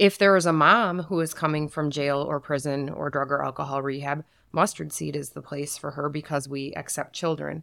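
A woman's very deep, low voice with vocal fry and an American accent, fairly even intonation and hardly any pauses, on a very clean recording with a silent background. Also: moderate pace. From Saginaw, Michigan. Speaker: shelter executive director. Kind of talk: casual interview.

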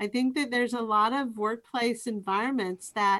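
A fairly slow, fairly even delivery in an American accent. It is an unremarkable speaking voice. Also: woman. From Eastern Washington, US. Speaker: university professor. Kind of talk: casual interview. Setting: video call.

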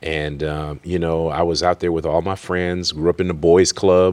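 A man with an American accent and a very deep, low pitch speaks at a fairly slow pace, recorded very cleanly against a silent background with a dry, close sound and no echo. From Worcester, Massachusetts. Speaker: college president and pastor. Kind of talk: interview.

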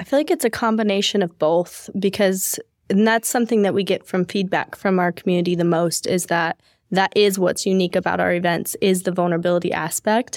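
In an unremarkable speaking voice, a woman talks fairly quickly at a medium pitch with ordinary pitch variation and very even loudness, the sound dry and close with no echo. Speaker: podcast host and events business co-owner. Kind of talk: casual interview chat.

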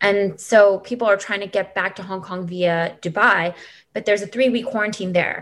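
A woman with a Californian accent speaks at a moderate pace. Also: medium pitch for a woman. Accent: Californian American English. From US West Coast, Los Angeles. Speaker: expat mother, former refugee agency worker. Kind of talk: interview, casual conversation. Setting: remote call.

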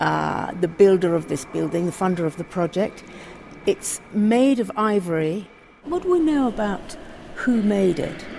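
The background carries noticeable noise. Intonation rises and falls in a lively way. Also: woman, medium pitch for a woman, fairly slow pace. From Africa. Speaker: culture journalist. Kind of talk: guided tour conversation.

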